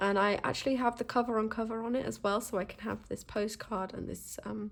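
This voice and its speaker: A woman's fairly high voice with vocal fry, fairly even intonation and a fairly quick pace. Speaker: stationery YouTuber. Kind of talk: casual show-and-tell. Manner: hesitant, many fillers.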